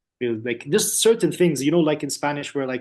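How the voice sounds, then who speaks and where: A man speaks at a fairly high pitch with an Arabic accent. The background is quiet. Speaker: student, business owner. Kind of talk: testimony.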